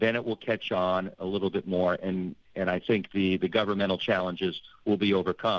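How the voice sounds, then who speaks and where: In an American accent, a man uses an ordinary speaking voice at a moderate pace and fairly low pitch. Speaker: public health expert, organisation director. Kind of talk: radio interview.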